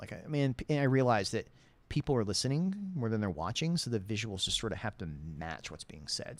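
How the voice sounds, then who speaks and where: A man with a normal speaking voice talks in lively intonation. His pitch is medium. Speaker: gaming youtuber. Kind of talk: casual chat.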